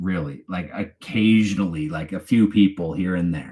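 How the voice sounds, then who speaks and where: A man with a slight Canadian accent talks at a moderate pace with ordinary pitch variation. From Canada, Toronto area. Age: 40s. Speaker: true crime YouTuber. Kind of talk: live stream chat. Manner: casual, halting with fillers.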